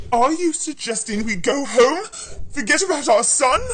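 Moderate pace in a put-on character voice. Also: female-sounding voice, high pitch for a woman.

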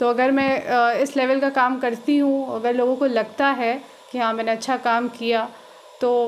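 A woman speaks in a high, flat, monotone voice at a fairly slow pace. Her loudness stays very even over light background noise. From Bihar, India. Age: 20s. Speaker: village council candidate; council candidate. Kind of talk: interview. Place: home room. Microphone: handheld.

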